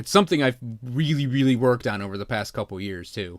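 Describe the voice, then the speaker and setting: A man speaks at a medium pitch with an American accent. The recording is very clean, with a silent background. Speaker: video game streamer. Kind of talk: casual livestream chat. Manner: casual, halting with fillers.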